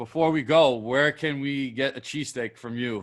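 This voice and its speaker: A man in a normal speaking voice with an American accent, medium pitch and fairly even intonation. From New York. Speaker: podcast host. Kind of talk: casual interview.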